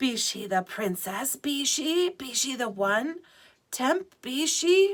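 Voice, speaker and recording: Using a put-on character voice, a woman speaks very slowly at a high pitch. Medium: read story. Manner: hushed, reverent, inverted archaic grammar.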